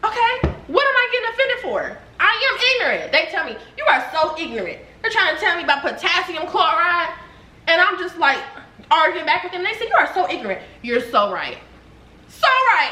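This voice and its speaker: Over noticeable background noise and audible room echo, a woman with an extremely high voice projects loudly at a fairly quick pace, her pitch swinging very widely. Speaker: YouTuber, mother. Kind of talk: heated debate. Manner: animated.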